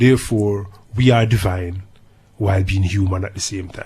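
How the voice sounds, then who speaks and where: The voice is somewhat breathy, with a Jamaican accent. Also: man. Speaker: dub poet. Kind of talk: interview answer.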